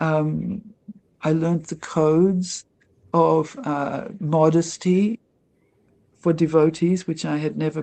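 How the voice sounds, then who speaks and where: A woman with an Australian accent, her pitch very deep and low, her intonation fairly even, her pace very slow, with long, frequent pauses. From Australia, Melbourne. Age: 70s. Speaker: devotee and former actress. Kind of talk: interview testimony. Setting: livestreamed interview.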